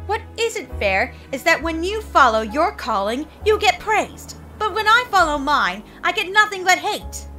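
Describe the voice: Using a cartoonish character voice with an extremely high pitch, big pitch swings and a bright, sharp tone, a woman talks with few pauses over faint music in the background. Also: fairly slow pace.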